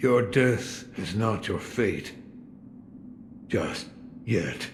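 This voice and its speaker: Using a put-on character voice, a man talks at a very slow pace with fairly even intonation and medium pitch, over clear background noise. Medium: video game. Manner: terse, cryptic.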